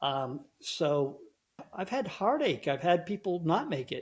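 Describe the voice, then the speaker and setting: Speaking at a very slow pace, the man has a high pitch. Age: 60s. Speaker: herbal tea company co-owner. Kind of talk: interview. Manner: halting.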